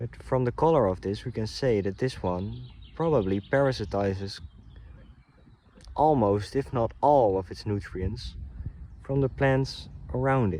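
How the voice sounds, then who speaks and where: The tone is dark and mellow, the intonation lively. The pace is fairly slow, with long, frequent pauses. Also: man, fairly low pitch for a man. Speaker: nature vlogger. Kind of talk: outdoor walk-and-talk tutorial. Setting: outdoors. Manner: casual, some hesitations.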